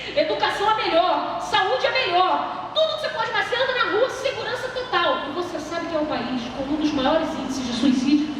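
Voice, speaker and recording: A woman talks with an extremely high pitch, very wide pitch swings and an animated tone at a fairly quick pace, with hardly any pauses. Noticeable background noise and audible room echo surround her. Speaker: preacher. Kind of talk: sermon. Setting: church congress with audience. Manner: fast.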